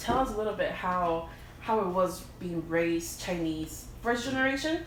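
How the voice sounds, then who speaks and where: Over noticeable background noise and audible room echo, a woman talks at a moderate pace with lively intonation and a medium pitch. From US, Mexican-American family. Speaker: podcast co-host. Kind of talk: casual chat.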